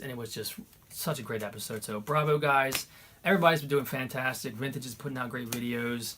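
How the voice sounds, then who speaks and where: A man speaks at a very fast pace with ordinary pitch variation. Noticeable background noise can be heard. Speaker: YouTuber, retro gaming channel host. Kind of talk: casual chat.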